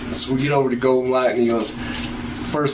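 Speaking with an American accent, a man of medium pitch holds a fairly even intonation over noticeable background noise. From Texas Panhandle. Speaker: guitarist. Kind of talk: casual chat.

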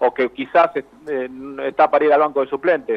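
A man's fairly high voice at a very fast pace. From Argentina, Avellaneda (Buenos Aires area). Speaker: sports journalist. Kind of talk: interview. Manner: halting, repeats words.

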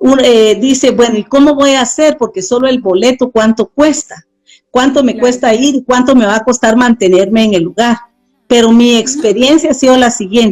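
A woman talks at a fairly quick pace. Her high pitch carries ordinary variation. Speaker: missionary. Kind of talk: interview testimony.

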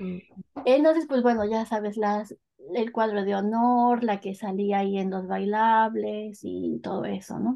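A woman speaks at a fairly slow pace with fairly even intonation. She has a normal speaking voice at medium pitch. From Mexico, northern State of Mexico. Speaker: Mexican expat. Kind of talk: casual interview.

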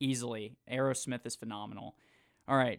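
Pitch varies in an ordinary way as this man talks. The recording is very clean, with a silent background. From Jacksonville, Florida. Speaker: sports radio host, broadcasting intern. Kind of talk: casual interview chat; scripted radio intro. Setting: radio studio.

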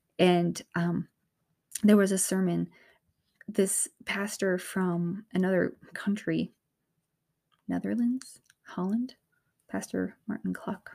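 Speaking at a very slow pace with long, frequent pauses, a woman with an American accent uses a medium pitch, fairly even intonation and a dark, mellow tone. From US Northeast, north of Boston. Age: 30s. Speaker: mother sharing faith testimony. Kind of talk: testimony. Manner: halting, many fillers and restarts.

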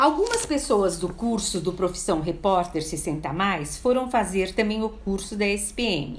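There is audible room echo around this woman's medium-pitched voice. She speaks at a fairly slow pace with lively intonation. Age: 60s. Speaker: event caterer and actress. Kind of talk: prepared personal testimony.

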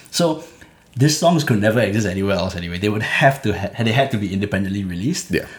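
A man with a fairly low pitch and lively intonation at a very fast pace. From Singapore, Clementi. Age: 20s. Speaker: rapper. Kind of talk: interview.

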